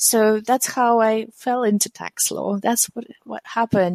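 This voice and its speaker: A woman talks fairly slowly at a fairly high pitch with a non-native accent. Her intonation is monotone and flat, and the sound is dry and close with no echo. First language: not English. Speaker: tech company founder and CEO. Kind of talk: interview.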